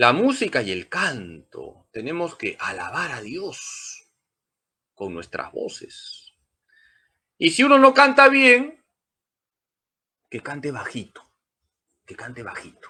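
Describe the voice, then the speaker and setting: On a very clean recording with a silent background, a man speaks at a very slow pace with long, frequent pauses and big swings in loudness. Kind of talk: catechism lecture. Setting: church sanctuary.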